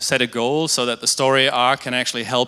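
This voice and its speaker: A man with a German accent at a fairly quick pace. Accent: German-tinged. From Germany, near Dutch border. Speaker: digital agency creative, conference speaker. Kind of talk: conference talk. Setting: stage with audience.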